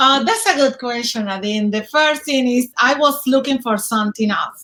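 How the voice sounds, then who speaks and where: This woman talks at a moderate pace in a Dominican accent. Her pitch is high, and it varies an ordinary amount. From Dominican Republic. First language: Spanish. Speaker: speaker mentorship student. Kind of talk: interview. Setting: live video stream. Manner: halting.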